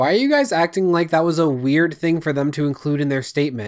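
Ordinary pitch variation from a man, with a quiet background behind him. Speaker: commentary youtuber. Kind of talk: commentary. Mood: sarcastic, critical. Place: home room. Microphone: studio mic.

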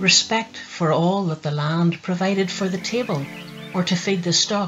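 Music plays in the background as a woman with a Northern Irish accent speaks. Her pitch is fairly low with ordinary variation, and her pace is moderate. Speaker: poet. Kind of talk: poetry reading.

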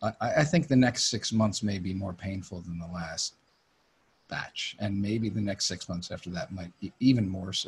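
The speaker has an American accent. The voice comes across somewhat breathy. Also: man, fairly low pitch for a man, ordinary pitch variation, moderate pace. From Connecticut, US. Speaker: music industry executive and former talent agent; guest. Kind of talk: interview. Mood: reflective, frank. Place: home room. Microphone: studio mic.

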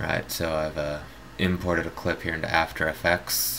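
A man with a very deep, low pitch and monotone, flat intonation, over noticeable background noise. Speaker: video tutorial maker. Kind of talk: tutorial. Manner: halting with many fillers.

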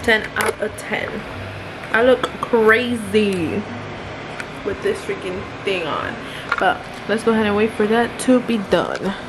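A woman's fairly slow speech with ordinary pitch variation and long, frequent pauses, over noticeable background noise. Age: young. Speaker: lifestyle vlogger. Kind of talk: casual vlog narration. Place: home room. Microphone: phone near.

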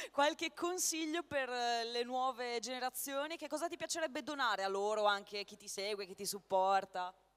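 There are hardly any pauses, and the pace is moderate. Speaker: convention panel moderator. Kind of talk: panel interview. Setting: stage with audience.

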